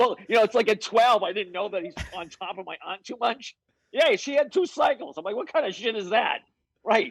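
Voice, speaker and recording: An animated man with an extremely high pitch, lively intonation, big swings in loudness and a fairly quick pace, in a dry, close sound with no echo. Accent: Boston. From Boston, Massachusetts (North Shore). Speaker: strength and conditioning coach. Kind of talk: casual interview chat. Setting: video call.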